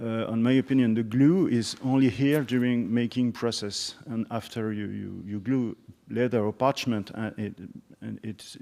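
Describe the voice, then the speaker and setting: With a French accent, a man speaks at medium pitch in a dark, mellow tone, his intonation fairly even but his loudness swinging widely, on a very clean recording with a silent background. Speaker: instrument maker. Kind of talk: conference discussion. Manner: halting.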